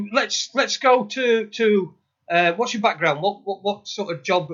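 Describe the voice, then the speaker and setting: Using lively intonation, a man with a Yorkshire accent speaks at a fairly slow pace. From northern England, Sheffield. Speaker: podcast co-host. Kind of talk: interview. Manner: halting, repetitive.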